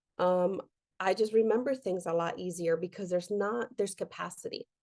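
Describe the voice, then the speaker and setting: A woman talks at a fairly quick pace in a medium pitch with fairly even intonation. It is an unremarkable speaking voice. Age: 40s. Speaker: meditation teacher and workshop leader. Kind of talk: online workshop. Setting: video call.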